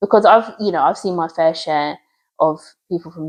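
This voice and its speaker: A woman speaks at a moderate pace. Her tone is dark and mellow. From England, Luton. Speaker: community charity worker. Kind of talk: podcast interview, personal story. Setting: in person at a community hub. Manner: soft-spoken; bubbly, energetic.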